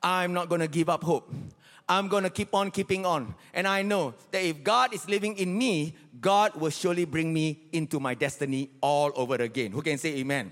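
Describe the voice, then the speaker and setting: A man speaks in a high voice at a moderate pace. His tone is animated and his intonation lively. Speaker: pastor. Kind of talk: sermon. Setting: church with live congregation. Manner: repeats key lines for emphasis with urgent, rhythmic, exhorting cadence.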